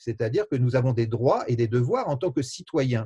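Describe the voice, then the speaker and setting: A man talks with a dark, mellow tone and ordinary pitch variation. His voice is somewhat breathy. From France. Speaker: sociologist. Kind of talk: interview. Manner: halting, many hesitations.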